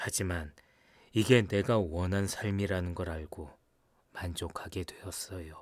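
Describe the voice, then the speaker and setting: A man's very deep, low voice comes out somewhat breathy and calm, very slow, with fairly even intonation. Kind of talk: audiobook narration of a short story, read aloud in first person. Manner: calm, measured, wistful storyteller's pace.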